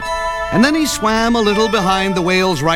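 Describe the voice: Simple, plain reading aloud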